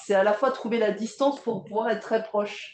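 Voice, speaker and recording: Amid noticeable background noise, a woman's voice varies in pitch by an ordinary amount. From southeastern France, Provence village near Draguignan. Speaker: theatre director and playwright. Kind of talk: public interview conversation. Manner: hesitant, many fillers and restarts.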